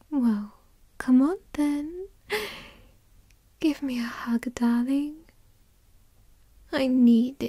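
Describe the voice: In a put-on character voice, a woman speaks very slowly with long, frequent pauses, a high pitch with ordinary variation, and a dark, mellow tone.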